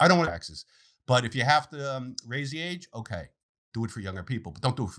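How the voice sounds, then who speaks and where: Over a very clean recording with a silent background, a man at a medium pitch talks very fast with vocal fry, very wide pitch swings and big swings in loudness. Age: 60s. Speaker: financial planner. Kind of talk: interview.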